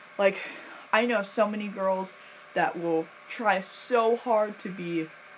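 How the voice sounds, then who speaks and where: Over noticeable background noise, a woman speaks at a very slow pace. Her pitch is medium and her intonation fairly even. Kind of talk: casual talk to camera. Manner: hesitant, stuttering at times.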